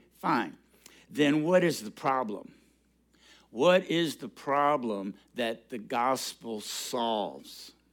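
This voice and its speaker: Very slow speech with long, frequent pauses, lively intonation and big swings in loudness on a very clean recording with a silent background. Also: man, medium pitch for a man. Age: 70s. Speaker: guest preacher. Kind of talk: sermon.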